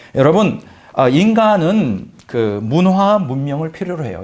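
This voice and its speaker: The man's pitch is fairly high and swings very widely. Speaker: pastor. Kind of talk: sermon. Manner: fast.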